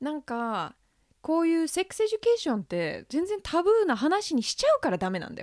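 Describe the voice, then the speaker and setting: In a very clean, silent recording with a dry, close sound and no echo, a woman speaks fast-ish at a high pitch, her loudness swinging widely and her pitch very widely. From United States. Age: 30s. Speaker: podcast host. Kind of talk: casual chat. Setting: home recording studio. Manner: animated.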